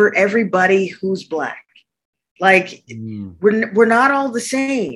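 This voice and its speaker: Using an ordinary speaking voice, a woman at medium pitch speaks at a fairly slow pace with lively intonation. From Arctic Canada. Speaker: architect and entrepreneur. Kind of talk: interview.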